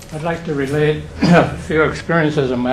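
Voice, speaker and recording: A man speaks at a moderate pace with a fairly high pitch. There is audible room echo and noticeable background noise. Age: 80s+. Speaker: audience member, war veteran. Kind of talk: audience question.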